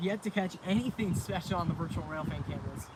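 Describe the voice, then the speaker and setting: Over noticeable background noise, a man speaks with a high pitch and fairly even intonation. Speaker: railfan livestreamer. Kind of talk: live stream chat. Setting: outdoors.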